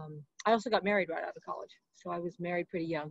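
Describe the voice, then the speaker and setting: A woman speaks at a very fast pace with a fairly low pitch and ordinary pitch variation, the sound dry with no echo and the background quiet. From US Midwest. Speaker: professor. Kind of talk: interview. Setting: video call. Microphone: webcam.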